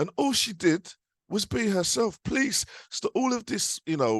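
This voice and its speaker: A man in a quiet background, with a dry, close sound and no echo. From East London (Forest Gate). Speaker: barrister. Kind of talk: panel discussion. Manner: casual, informal; halting, many restarts.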